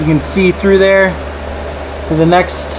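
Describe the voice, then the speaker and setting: The man's voice is high in pitch. Noticeable background noise and audible room echo fill the recording. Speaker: home renovation vlogger. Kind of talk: DIY vlog narration. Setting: crawl space under house. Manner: whispering.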